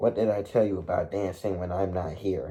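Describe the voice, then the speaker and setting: A man's growling, raspy put-on character voice, fairly low in pitch, at a moderate pace. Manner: growling, stern.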